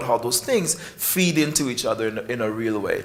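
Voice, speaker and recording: Over noticeable background noise and audible room echo, a man with a West Indian accent talks at a fairly quick pace. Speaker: professor of psychiatry. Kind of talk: conference speech.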